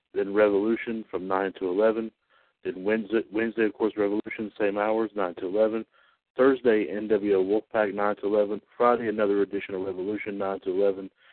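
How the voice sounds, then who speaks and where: This man talks at a moderate pace in a fairly low pitch, with a plain, everyday voice. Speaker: radio announcer. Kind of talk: radio station announcement, read as a formal, scripted broadcast bulletin. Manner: formal, measured, professional announcer cadence with slight stumbles and fillers; upbeat sign-off and rattling off the weekly schedule.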